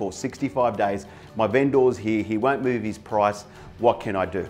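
Faint music sits in the background while a man talks. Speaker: sales coach. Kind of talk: motivational talk to camera. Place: office. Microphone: lapel.

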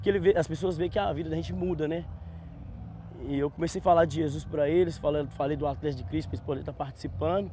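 At a very fast pace, a man with a fairly high pitch and dark, mellow tone swings very widely in pitch with vocal fry, in a dry sound with no echo and light background noise. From Minas Gerais, Brazil. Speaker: church sports ministry member; interviewee. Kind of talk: on-site interview; interview answer. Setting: outdoors on a football pitch. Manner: halting, repeats words. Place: open country. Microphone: lapel.

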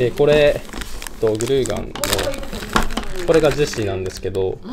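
A man speaks with noticeable noise in the background. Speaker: dried-flower wreath maker. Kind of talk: workshop instruction. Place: hall. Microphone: camera far.

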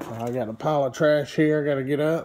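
Over audible room echo, a man speaks at a fairly quick pace and a fairly high pitch, his intonation fairly even and his tone slightly mellow.

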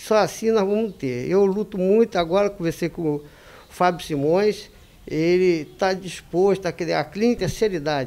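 A man talks at a moderate pace in a high pitch. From Rio de Janeiro, Brazil. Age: 60s. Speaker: van driver running for city council. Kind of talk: campaign interview. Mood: earnest, indignant. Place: studio. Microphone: handheld.

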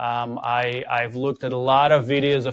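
The intonation is monotone and flat. The background is quiet, and the sound is dry with no echo. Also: man. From Ukraine, Odessa. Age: 40s. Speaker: tech company co-founder. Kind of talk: conference presentation. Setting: stage with audience. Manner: hesitant with many fillers. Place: meeting room.

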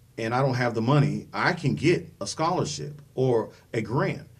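Vocal fry marks the medium-pitched voice of a man with an American accent. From US Midwest (Dayton, Ohio). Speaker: political candidate. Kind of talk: interview. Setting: studio. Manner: halting, many fillers.

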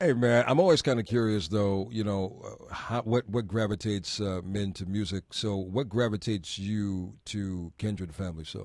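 At a moderate pace with hardly any pauses, a man talks at a fairly low pitch with ordinary pitch variation, the sound dry with no echo and the background quiet. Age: 30s. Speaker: radio host. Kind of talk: casual chat. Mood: warm, earnest. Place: studio. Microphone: studio mic.

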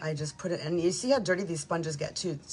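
There is noticeable background noise behind this voice. A woman speaks at a fairly low pitch with ordinary variation. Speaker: makeup consultant. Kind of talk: tutorial. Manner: casual chatty.

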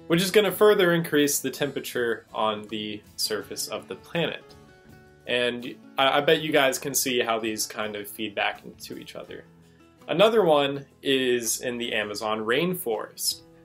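A man at a moderate pace, with big swings in loudness and faint music in the background. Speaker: educational vlogger. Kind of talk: explanatory commentary. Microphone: studio mic.

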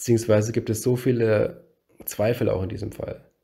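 At a moderate pace, a man talks in a dark, mellow tone that is somewhat breathy, his pitch medium for a man. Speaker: true crime YouTuber. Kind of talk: narrated case presentation.

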